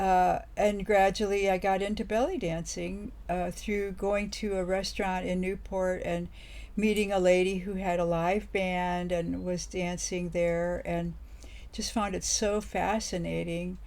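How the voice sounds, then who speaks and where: This woman speaks at a fairly slow pace, with audible echo from the room. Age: 80s+. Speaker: belly dance teacher. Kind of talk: interview.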